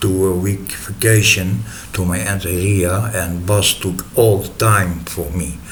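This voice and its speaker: A man with a Dutch accent speaks at a very slow pace in a very deep, low pitch. Audible room echo and noticeable background noise surround his voice. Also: ordinary pitch variation. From Netherlands. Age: 40s. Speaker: storyteller. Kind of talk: personal story. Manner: halting, many filler sounds.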